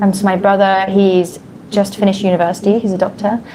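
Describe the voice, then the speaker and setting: A woman at medium pitch and a very fast pace, amid noticeable background noise. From England. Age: 20s. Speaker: English conversation partner. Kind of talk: casual conversation practice.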